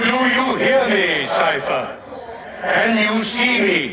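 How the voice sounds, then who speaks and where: Very slowly and at an extremely high pitch, a man performs a put-on character voice amid a clear echo and loud background noise. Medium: machinima. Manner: slow, solemn, measured.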